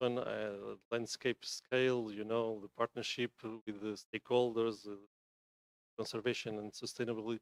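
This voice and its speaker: In a Portuguese accent, a man talks at a moderate pace with a medium pitch and monotone, flat intonation, recorded dry and close with no echo. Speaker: environmental NGO member. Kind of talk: conference presentation. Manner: halting, many fillers.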